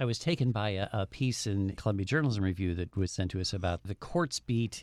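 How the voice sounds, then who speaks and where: A man's fairly low-pitched voice with an American accent and lively intonation, in a very clean recording with a silent background and a dry, close sound with no echo. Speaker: media show host, former newspaper editor. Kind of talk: casual panel discussion.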